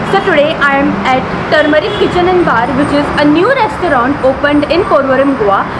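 Fairly quick speech over loud background noise. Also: woman. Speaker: food vlogger. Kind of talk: casual vlog chat. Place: street.

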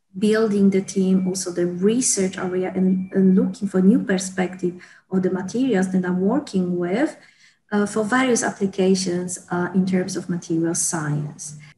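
The woman's voice is dark, mellow and somewhat breathy, with ordinary pitch variation. Light background noise can be heard. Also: moderate pace. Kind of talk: interview answer. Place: office. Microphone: earbuds.

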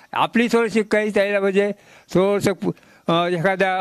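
A man talks with ordinary pitch variation. The sound is dry with no echo, over a quiet background. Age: 80s+. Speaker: retired tailor making free masks. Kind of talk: interview. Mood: content, warm. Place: home room. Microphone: handheld.

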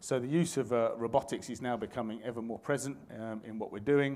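A man at a moderate pace, his intonation fairly even. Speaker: conference presenter. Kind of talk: lecture. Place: hall.

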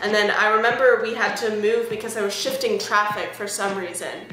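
A woman at a moderate pace, with music in the background and audible room echo. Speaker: music vlogger. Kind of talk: casual storytime vlog. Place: home room. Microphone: webcam.

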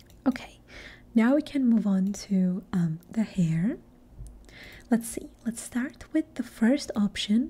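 A soft-spoken voice talking at a fairly slow pace. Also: woman. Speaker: ASMR creator and gamer. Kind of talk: ASMR gaming talk. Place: home room. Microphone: studio mic.

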